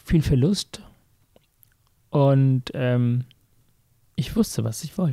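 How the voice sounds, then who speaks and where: Speaking very slowly, a man with a dark, mellow, somewhat breathy tone and a fairly high pitch is captured in a dry, close sound with no echo. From Sri Lanka, raised in Hamburg from age 13. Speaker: heart surgeon and author. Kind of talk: interview, personal life story.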